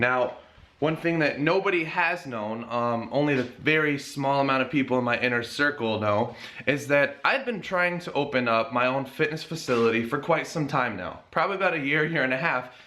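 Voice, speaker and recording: Someone with an American accent speaks amid noticeable background noise and audible room echo. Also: man, fairly high pitch for a man, ordinary pitch variation, moderate pace. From US Northeast (Connecticut). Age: 20s. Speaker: personal trainer and fitness vlogger. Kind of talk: casual vlog announcement. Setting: home garage gym.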